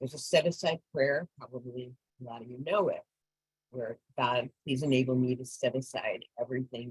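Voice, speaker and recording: A woman speaks in a very deep, low pitch, somewhat breathy. The sound is dry and close, with no echo. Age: 70s. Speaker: recovery fellowship speaker. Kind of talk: testimony.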